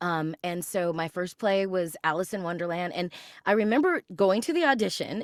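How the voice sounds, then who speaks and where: In a very clean recording with a silent background, the sound is dry and close with no echo. A woman with an unremarkable speaking voice talks at a fairly low pitch and moderate pace with ordinary pitch variation. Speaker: voice actor. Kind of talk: interview answer.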